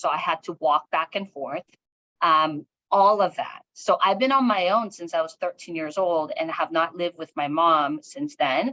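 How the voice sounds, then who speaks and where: With a Korean accent and lively intonation, a woman speaks at a moderate pace in a fairly low, bright, sharp voice, with a dry, close sound and no echo. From South Korea, moved to US at nine. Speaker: education executive and author. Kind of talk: interview, personal story.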